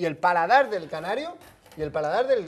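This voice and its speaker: A man speaks at a fairly quick pace. His pitch is high and swings very widely. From Canary Islands. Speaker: TV sports show host. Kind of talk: sports talk show. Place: studio. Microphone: lapel.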